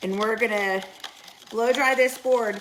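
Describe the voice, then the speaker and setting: A woman with an American accent at a fairly slow pace, ordinary pitch variation, and noticeable background noise. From Missouri. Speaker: paint retailer and instructor. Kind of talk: live tutorial. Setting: studio, live stream. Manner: casual, chatty.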